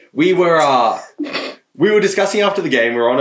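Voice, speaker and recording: A man with an Australian accent. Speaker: podcast co-host. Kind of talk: casual chat.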